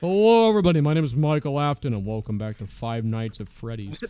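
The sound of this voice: A man puts on a wheezy character voice at a medium pitch. He speaks at a very fast pace.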